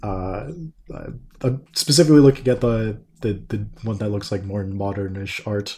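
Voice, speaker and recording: With a Canadian accent, a man speaks at a moderate pace and fairly low pitch. His tone is dark, mellow and somewhat breathy, with ordinary pitch variation. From Canada. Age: 20s. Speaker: podcast guest. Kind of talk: casual chat.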